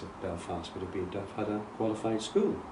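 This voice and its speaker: Fairly quick speech from a man, amid noticeable background noise and audible room echo. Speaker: retired architect. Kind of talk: interview conversation.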